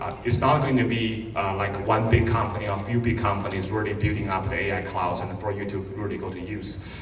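A man talks at a fairly quick pace over light background noise, with audible room echo. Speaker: conference host. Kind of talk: conference welcome talk. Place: stage.

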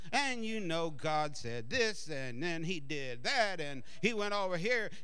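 A man's whiny, put-on character voice at a fairly slow pace, with noticeable background noise. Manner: whiny, wimpy.

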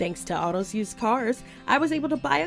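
Music plays in the background. A woman with an American accent speaks at a moderate pace. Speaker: voice actor. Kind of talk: TV commercial read. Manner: jovial, laid back, casual.

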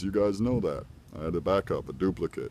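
With lively intonation and some vocal fry, a man talks in a dry recording with no echo over light background noise. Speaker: knife collector. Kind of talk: casual talk to camera. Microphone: phone near.

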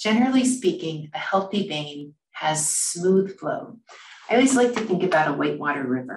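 At a moderate pace, a woman speaks amid audible room echo. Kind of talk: lecture. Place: office. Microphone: webcam.

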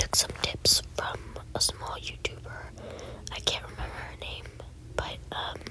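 A woman whispers at a fairly slow pace, her loudness swinging widely. She leaves long, frequent pauses, with noticeable background noise behind her. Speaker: ASMR creator. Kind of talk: ASMR gameplay rambling. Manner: soft whispering.

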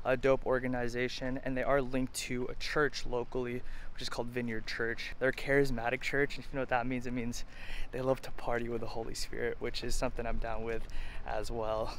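Light background noise sits under a dry sound with no echo. A man talks at a fairly quick pace in a monotone, flat intonation. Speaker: thrift vlogger. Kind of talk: casual vlog chat. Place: shop. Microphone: phone near.

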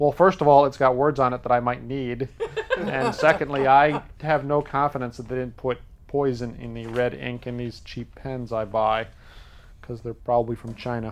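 The pace of this man's talking is moderate. His tone holds fairly even throughout. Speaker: show host. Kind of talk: comedic explainer monologue. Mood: jokey, wry. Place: studio.

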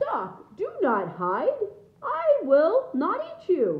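A put-on character voice speaks at an extremely high pitch. The pace is very slow. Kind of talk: reading a children's book aloud. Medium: read story. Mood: booming reassurance.

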